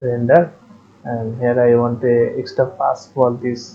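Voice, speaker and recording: The speech is somewhat breathy, delivered at a very slow pace with fairly even intonation. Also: man. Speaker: 3D software tutorial maker. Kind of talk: screen-recorded software tutorial.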